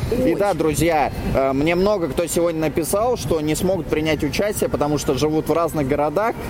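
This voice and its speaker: Noticeable background noise sits behind a man speaking at a fairly quick pace. His pitch is fairly high, with ordinary variation and very even loudness. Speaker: blogger and flash mob organizer. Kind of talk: live field interview. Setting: outdoors.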